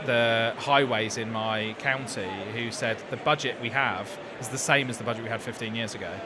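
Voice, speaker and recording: A man's medium-pitched voice at a moderate pace, fairly even in intonation, amid noticeable background noise. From southern England (High Wycombe). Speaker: interviewer. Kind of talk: casual chat. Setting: studio at live trade show. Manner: halting.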